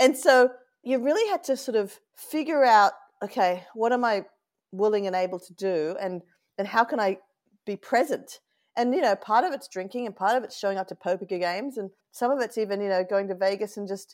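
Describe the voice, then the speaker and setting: Speaking with an Australian accent, a woman with a fairly high pitch moves at a fairly quick pace, with ordinary pitch variation and big swings in loudness. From Australia, Sydney (Lane Cove). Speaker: venture capital investor. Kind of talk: interview.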